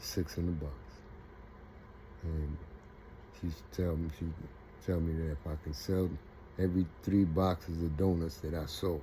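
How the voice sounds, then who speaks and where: Somewhat breathy and dark, mellow in tone, a man with a very deep, low pitch talks at a moderate pace with fairly even intonation and long, frequent pauses. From Brooklyn, New York. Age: 60s. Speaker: storyteller, former prisoner. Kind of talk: personal storytelling. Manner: hesitant, many fillers.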